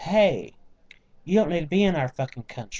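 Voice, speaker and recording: The speaker is a man with a Southern US accent. His tone is dark and mellow. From US South, small-town Georgia. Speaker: vlogger. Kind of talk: casual vlog rant. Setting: home, on computer webcam. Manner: animated.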